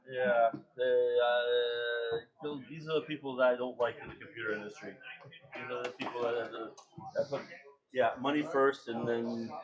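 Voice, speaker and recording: Over music in the background, a man speaks with fairly even intonation, big swings in loudness and long, frequent pauses. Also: medium pitch for a man, moderate pace. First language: Spanish. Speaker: retro computer enthusiast. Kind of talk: casual chat. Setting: convention table, live stream.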